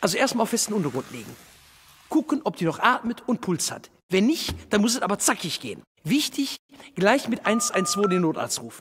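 A man speaks at a moderate pace in a Ruhr accent over light background noise. His high pitch moves in very wide swings. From Duisburg, Ruhr area, Germany. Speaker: cabaret artist. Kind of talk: cinema public service spot. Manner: casual, humorous, direct. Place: stage. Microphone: lapel.

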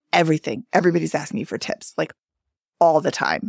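A woman speaks at a fairly low pitch with vocal fry. The sound is dry and close with no echo. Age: 50s. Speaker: podcast co-host appearing as guest. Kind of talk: casual chat.

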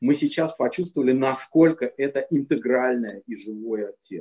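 Against a quiet background, a man with a dark, mellow tone and fairly high pitch talks at a fairly slow pace with ordinary pitch variation. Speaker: composer. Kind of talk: online panel discussion. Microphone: video call.

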